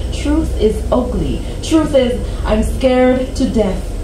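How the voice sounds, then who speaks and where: Over noticeable background noise, a woman speaks at a very slow pace with ordinary pitch variation. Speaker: poet. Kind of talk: poetry reading. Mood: earnest, expressive. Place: cafe. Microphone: camera far.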